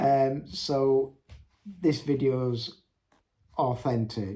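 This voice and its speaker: A man speaks with ordinary pitch variation. His tone is dark and mellow, somewhat breathy. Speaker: entrepreneur vlogger. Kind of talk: unscripted business tips monologue. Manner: hesitant, many ums.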